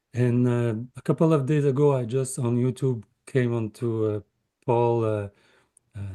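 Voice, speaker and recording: In a Quebec French accent, the speaker has a dark, mellow tone and ordinary pitch variation, with a dry, close sound with no echo. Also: man. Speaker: meditator. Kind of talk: self-introduction. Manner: halting.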